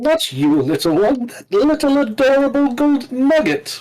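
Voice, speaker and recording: This is a put-on character voice, high-pitched and croaky. It moves at a moderate pace. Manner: croaking.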